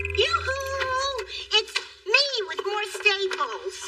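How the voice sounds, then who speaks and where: A woman uses a put-on character voice, squeaky and extremely high in pitch. She speaks at a very slow pace. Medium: short film. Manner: blunt, wisecracking.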